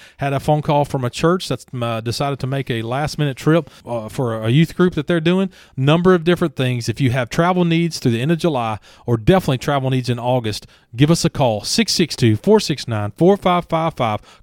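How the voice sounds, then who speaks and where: A man talks at a fairly quick pace with lively intonation. The recording is very clean, with a silent background and a dry, close sound with no echo. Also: fairly high pitch for a man. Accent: Southern US. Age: 40s. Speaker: local podcast co-host. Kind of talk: casual chat.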